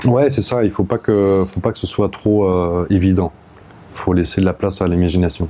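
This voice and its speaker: A man speaks at a moderate pace in a very deep, low voice. His loudness stays very even. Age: 30s. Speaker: jazz saxophonist. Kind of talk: casual interview. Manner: halting.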